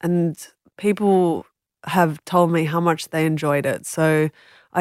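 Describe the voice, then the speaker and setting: Captured in a very clean, dry, close recording with a silent background and no echo, a woman with a very deep, low pitch and an Australian accent talks at a fairly slow pace with fairly even intonation. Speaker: author and journalist. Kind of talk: interview. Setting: studio.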